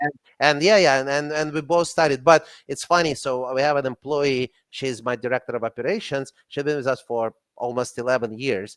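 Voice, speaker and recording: A man talks at a fairly quick clip in a Russian accent, his pitch fairly high with ordinary variation. The sound is dry and close, with no echo. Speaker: company CEO and franchise consultant. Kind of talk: casual chat.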